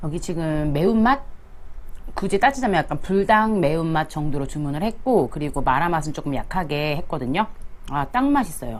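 Her voice is fairly low for a woman, with very wide pitch swings. She talks at a moderate pace. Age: 40s. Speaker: mukbang home-drinking vlogger. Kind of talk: casual talk to camera.

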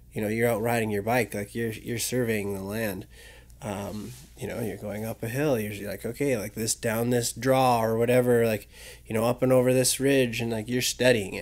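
A man with a Western Canadian accent, medium-pitched, at a moderate pace, in a monotone with flat intonation. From Vernon, British Columbia, Canada. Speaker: adventure photographer. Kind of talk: casual chat. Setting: studio.

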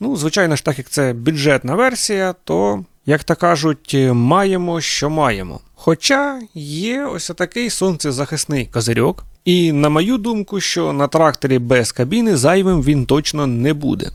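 Very wide pitch swings mark this fairly slow delivery, recorded with a dry, close sound and no echo. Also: man, fairly high pitch for a man. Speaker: tractor reviewer. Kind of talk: product review video. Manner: informal, conversational.

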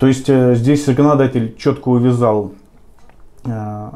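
Ordinary pitch variation runs through a man's dark, mellow tone. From Volgograd, southern Russia; Russia. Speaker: lawyer. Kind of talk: interview. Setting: office. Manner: halting, with fillers. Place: meeting room. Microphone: camera far.

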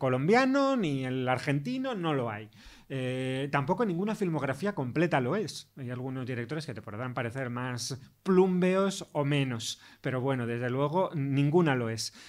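On a very clean recording with a silent background, a man talks in a plain, everyday voice. His pitch is medium, with ordinary variation and a fairly slow pace. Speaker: film critic and professor. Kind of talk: interview.

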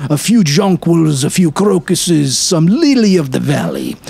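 The speaker goes at a fairly slow pace. Background noise is noticeable throughout. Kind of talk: character dialogue voiced within a read story. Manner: gruff, chatty old street-vendor voice, bantering and laughing.

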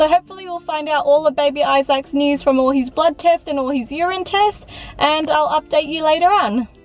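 Over faint background music, a woman talks at a fairly quick pace in a high pitch with ordinary pitch variation, the sound dry with no echo. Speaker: parent vlogger. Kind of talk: casual vlog chat. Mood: calm, slightly hopeful. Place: car. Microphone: phone near.

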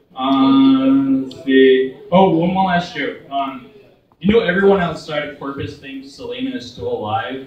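A man with a nervous tone at a fairly slow pace, ordinary pitch variation and big swings in loudness, amid light background noise and audible room echo. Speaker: comedian. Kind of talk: stand-up. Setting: stage with audience. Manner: nervous, halting, filler-heavy delivery. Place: stage. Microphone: camera far.

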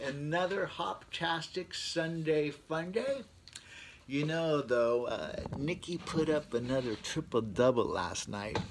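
A man talks very slowly while light noise runs in the background. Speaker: beer reviewer. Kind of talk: casual vlog chat. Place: garage.

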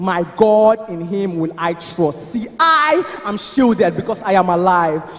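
A man talks at a fairly slow pace with lively intonation. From Nigeria. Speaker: spoken word poet. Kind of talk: spoken word poetry performance at church service. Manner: declamatory, emphatic. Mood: fervent, triumphant faith. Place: church. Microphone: handheld.

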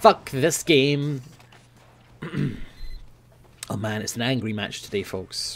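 Man with a Scottish accent. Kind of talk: gaming commentary. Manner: angry, frustrated.

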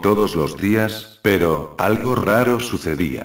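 A man's fairly low voice at a very slow pace, with lively intonation. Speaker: creepypasta narrator. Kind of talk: scripted narration. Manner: first-person spooky storytelling, building suspense.

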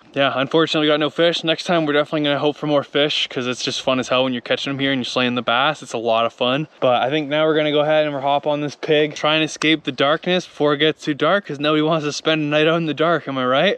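A man's very fast speech with fairly even intonation and a dry sound with no echo. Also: hardly any pauses. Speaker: dirt bike vlogger. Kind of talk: casual vlog chat. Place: waterside. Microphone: phone near.

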